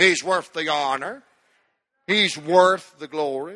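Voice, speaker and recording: A man with a Southern US accent speaks at a very slow pace in a bright, sharp tone with ordinary pitch variation. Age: 60s. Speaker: pastor. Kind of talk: sermon. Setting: church.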